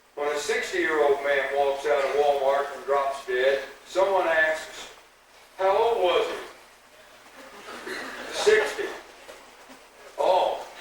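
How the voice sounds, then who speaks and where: A man with a fairly high pitch talks at a very slow pace, leaving long, frequent pauses. Audible room echo and noticeable background noise fill the recording. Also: ordinary pitch variation. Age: 60s. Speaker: high school band director. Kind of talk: banquet speech. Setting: school banquet with audience.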